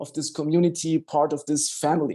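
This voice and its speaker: Music plays in the background as a man speaks with a German accent. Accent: non-native English, German-speaking. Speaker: doctor. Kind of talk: online health talk. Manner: halting, with many fillers.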